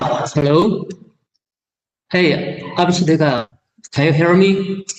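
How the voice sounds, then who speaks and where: A man speaks at a very slow pace in a high pitch. His pitch varies in an ordinary way. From China, Sichuan province. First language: Chinese. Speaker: company general manager. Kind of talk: presentation. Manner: halting.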